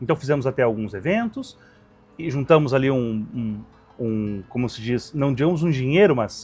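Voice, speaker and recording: Music plays in the background behind a man's voice. He speaks at medium pitch and a moderate pace. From Rio Grande do Sul, Brazil. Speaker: restaurant owner, barbecue cook. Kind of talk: interview answer.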